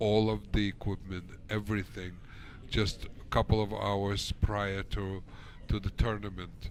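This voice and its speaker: Audible room echo follows a man who speaks fairly slowly in a fairly low pitch with monotone, flat intonation. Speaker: pool commentator. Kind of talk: live commentary. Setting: pool hall broadcast. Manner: speaking low.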